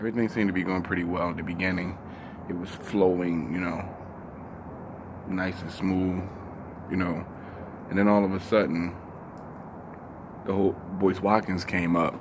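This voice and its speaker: Quiet and monotone, a man with a very deep, low pitch speaks at a moderate pace with long, frequent pauses, amid noticeable background noise and audible room echo. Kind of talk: casual commentary vlog. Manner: quiet, voice kept down; halting, many fillers.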